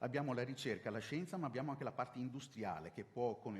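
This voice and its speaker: Very fast male speech with ordinary pitch variation. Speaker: city official. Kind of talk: conference presentation. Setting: conference with slides.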